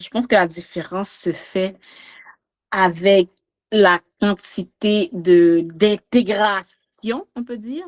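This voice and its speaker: With a Quebec accent, a woman speaks at a very slow pace and medium pitch, with ordinary pitch variation, big swings in loudness, and a dry, close sound with no echo. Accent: Québécois French. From Quebec, Montreal, Haitian family. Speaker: podcast guest. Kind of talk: casual chat. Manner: animated.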